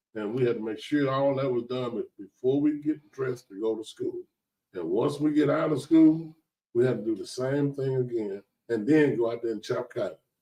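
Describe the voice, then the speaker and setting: The voice has a dark, mellow tone, with ordinary pitch variation at a moderate pace. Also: man, medium pitch for a man. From US South, rural west Tennessee. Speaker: author and former promoter. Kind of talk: podcast interview. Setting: studio.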